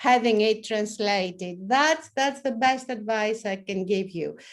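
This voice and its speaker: A woman with a Greek accent, at a fairly slow pace. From Greece. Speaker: professor. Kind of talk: panel discussion.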